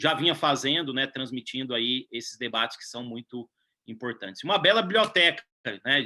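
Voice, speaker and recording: The delivery moves at a moderate pace in a rural Minas Gerais accent. Intonation is lively. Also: man. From southern Minas Gerais, Brazil. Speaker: civil law professor. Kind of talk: interview conversation.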